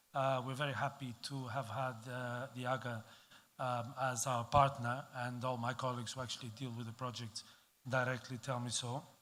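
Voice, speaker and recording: With audible room echo, a man talks at a moderate pace and a medium pitch in a bright, sharp tone. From Portugal. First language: Portuguese. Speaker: diplomat. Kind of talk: conference speech. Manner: halting, many fillers.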